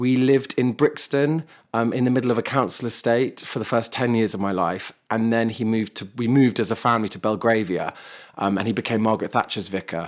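A man talks very fast at a medium pitch with fairly even intonation. The recording is very clean, with a silent background. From London, England. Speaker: author and model. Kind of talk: casual interview chat.

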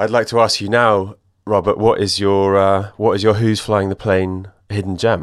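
Over a silent background on a very clean recording, a man with an English accent speaks at a moderate pace in a fairly low, monotone, flat voice. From England. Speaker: podcast host. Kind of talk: interview.

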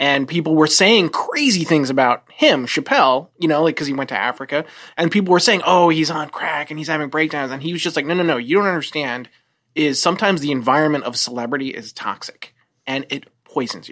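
With an American accent, the speaker goes at a fairly quick pace with ordinary pitch variation and big swings in loudness. The recording is very clean, with a silent background. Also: woman, very deep, low pitch for a woman. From New Jersey, US. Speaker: television writer, former medical researcher. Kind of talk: casual chat.

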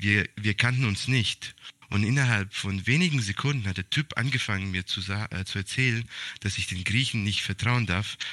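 A man speaks at a moderate pace in a fairly low pitch with a bright, sharp tone and ordinary pitch variation. The recording is very clean, with a silent background. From Serbian family, raised in Germany. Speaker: podcast co-host. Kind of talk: casual chat. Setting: room with heater. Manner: hesitant, many fillers.

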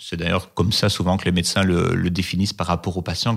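Recorded very cleanly against a silent background, a man speaks. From Belgium, Liège. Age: 40s. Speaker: oncology nurse. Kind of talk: interview. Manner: hesitant, many fillers.

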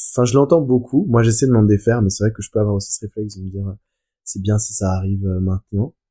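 A man speaks very fast in a fairly low, somewhat breathy voice with a dark, mellow tone and ordinary pitch variation. The recording is very clean and dry, close with no echo, over a silent background. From France. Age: 20s. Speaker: business school graduate. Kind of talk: casual chat.

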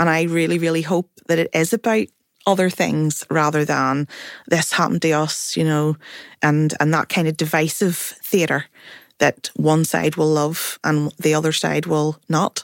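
With a Belfast accent, a woman of very deep, low pitch speaks at a fairly slow pace with fairly even intonation and very even loudness, in a dry, close sound with no echo on a very clean recording with a silent background. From Northern Ireland, North Belfast. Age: 40s. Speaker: writer and producer. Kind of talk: panel discussion. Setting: studio.

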